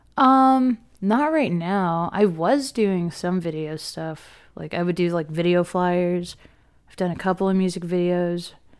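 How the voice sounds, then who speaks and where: A woman has an unremarkable speaking voice, fairly low in pitch with ordinary pitch variation, at a fairly slow pace. The recording is very clean with a silent background. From Philadelphia area, Pennsylvania. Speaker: concert photographer. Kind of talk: casual chat.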